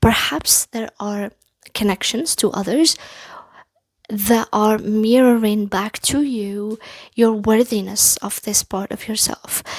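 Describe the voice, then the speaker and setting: A woman's fairly high voice with a non-native accent, fairly even intonation and a very slow pace, in a dry, close sound with no echo. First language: not English. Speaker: tarot reader. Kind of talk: pick-a-card tarot reading. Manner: halting, with many fillers.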